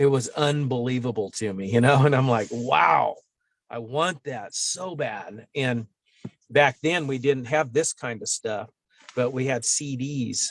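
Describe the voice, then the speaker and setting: Here is a man with an unremarkable speaking voice at medium pitch. He talks at a fairly slow pace with ordinary pitch variation. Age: 50s. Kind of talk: interview answer. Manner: casual, conversational.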